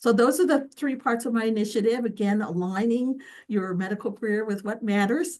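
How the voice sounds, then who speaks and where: This woman's voice is pitched fairly high. Its pitch varies in an ordinary way. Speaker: physician leader. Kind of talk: video call presentation. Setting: video call. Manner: fast.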